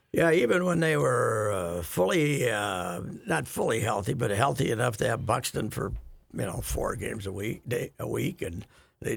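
A man at medium pitch with very wide pitch swings, vocal fry and a moderate pace. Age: 70s. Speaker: radio host. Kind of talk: casual chat.

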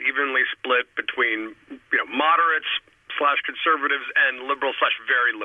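A man with an American accent talks fairly quickly while noticeable background noise is heard. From New York City. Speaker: political commentator. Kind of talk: political analysis discussion. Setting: phone call.

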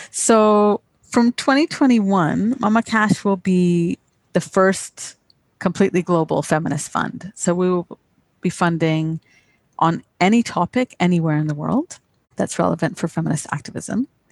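A woman speaks in an ordinary speaking voice, fairly low in pitch with ordinary pitch variation. Her pace is fairly slow, and the sound is dry and close with no echo. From England, then Canada. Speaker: nonprofit executive director. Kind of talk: interview.

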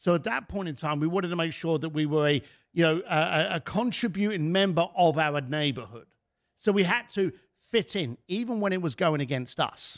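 With a British accent, a man talks at a fairly quick pace, his high pitch carried by lively intonation. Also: very clean recording, silent background. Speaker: author and speaker. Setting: studio.

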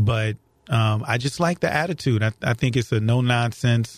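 With an American accent, a man speaks at a moderate pace and medium pitch in a normal speaking voice. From St. Louis area, Missouri. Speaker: county prosecutor. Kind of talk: interview. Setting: studio.

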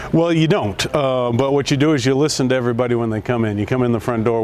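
A man rattles along at a very fast pace while noticeable background noise plays underneath. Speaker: company president and CEO. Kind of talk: speech at store opening.

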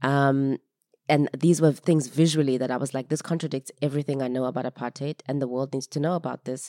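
Very deep and low in pitch, a woman's dark, mellow voice moves at a fairly quick pace in a monotone, flat line, recorded with a dry, close sound, no echo, and a very clean, silent background. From South Africa. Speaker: filmmaker. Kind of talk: interview conversation. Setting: festival venue.

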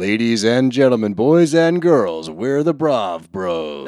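Booming in a put-on character voice, a man speaks at medium pitch and a fairly slow pace with very wide pitch swings. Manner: exaggerated announcer delivery.

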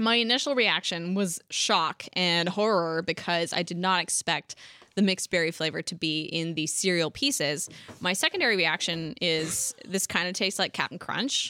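The recording is very clean with a silent background, carrying a woman's bright, sharp tone at a moderate pace in a dry, close sound with no echo. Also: fairly low pitch for a woman, ordinary pitch variation. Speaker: podcast host. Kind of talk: casual chat. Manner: animated.

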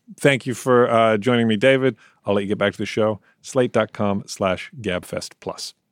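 A normal speaking voice from a man at medium pitch, moderate pace and fairly even intonation, in a dry, close sound with no echo. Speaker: membership program editor. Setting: phone or remote connection from New York.

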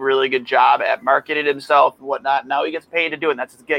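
Loud and fairly high-pitched, a man speaks in a dry, close recording with no echo. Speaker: hockey podcast host. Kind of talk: casual chat.

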